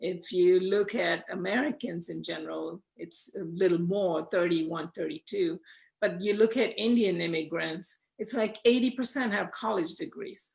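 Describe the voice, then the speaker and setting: With an unremarkable speaking voice, a woman talks at a moderate pace using lively intonation. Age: 60s. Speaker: panelist. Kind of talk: panel discussion.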